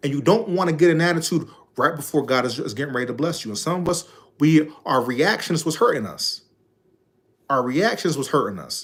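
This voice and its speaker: A man talks fairly quickly with vocal fry. His voice is fairly high, and his intonation is lively. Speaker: life coach. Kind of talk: motivational talk.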